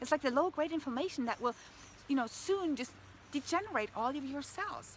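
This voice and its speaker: Her high pitch and lively intonation give this woman an enthusiastic tone. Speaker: health coach. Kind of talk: motivational vlog talk. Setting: outdoors in the woods.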